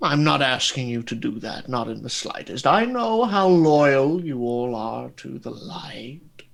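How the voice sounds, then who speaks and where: A man in a put-on character voice, medium pitch, fairly slow pace, hardly any pauses, and big swings in loudness. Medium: actual play. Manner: genteel, measured, faintly condescending.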